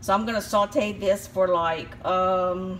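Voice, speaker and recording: A somewhat breathy woman at a fairly slow pace, with fairly even intonation and light background noise. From Louisiana. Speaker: home cooking video host. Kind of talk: cooking tutorial. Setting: home kitchen. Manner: casual, chatty. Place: kitchen. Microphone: phone near.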